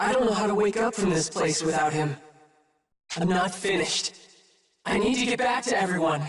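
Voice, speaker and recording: A man's cartoonish character voice, high-pitched, at a fairly quick pace broken by long, frequent pauses, with slight echo. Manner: earnest.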